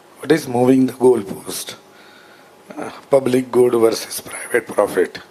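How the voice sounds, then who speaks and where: A man speaks at a medium pitch. His intonation stays fairly even, with noticeable noise behind him. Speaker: power sector expert, panelist. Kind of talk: panel talk. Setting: conference stage with audience.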